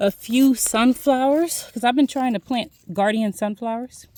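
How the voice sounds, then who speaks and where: In a Philadelphia accent, a woman with a fairly high pitch and lively intonation talks at a very slow pace, the sound dry and close with no echo. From Philadelphia, US. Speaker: homesteader vlogger. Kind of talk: casual walk-and-talk vlog. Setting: outdoors.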